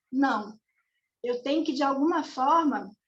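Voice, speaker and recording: With audible room echo, a woman speaks at a high pitch and a fairly slow pace. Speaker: spiritist study presenter. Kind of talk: religious study lecture. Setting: video call.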